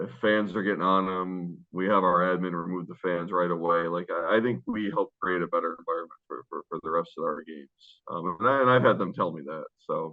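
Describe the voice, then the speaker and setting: A man with a very deep, low voice and an American accent, talking at a fairly quick pace with big swings in loudness over background music. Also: ordinary pitch variation, hardly any pauses. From US Northeast (Rochester, New York). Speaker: basketball coach. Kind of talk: interview.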